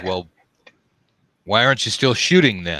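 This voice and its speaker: A man's put-on character voice, fairly low in pitch, at a moderate pace. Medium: actual play.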